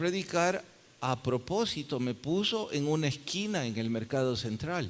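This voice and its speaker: A man with a plain, everyday voice speaks at a fairly slow pace. His pitch is fairly high and his intonation is lively. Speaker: pastor. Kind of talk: sermon.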